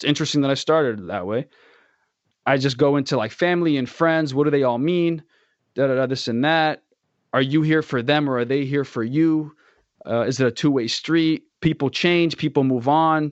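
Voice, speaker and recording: With an American accent, a man talks in an ordinary speaking voice at a fairly high pitch. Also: ordinary pitch variation, moderate pace. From United States. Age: 20s. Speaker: school worker, former student. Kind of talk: casual chat.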